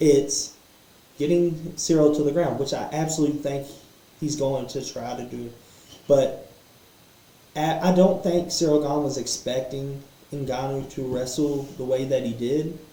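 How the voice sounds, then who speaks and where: In audible room echo, a man with a fairly high pitch speaks at a fairly slow pace with long, frequent pauses. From Kentucky. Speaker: MMA podcaster. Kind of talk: casual fight analysis monologue. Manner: animated, with repetitions and fillers. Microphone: poor sound quality setup.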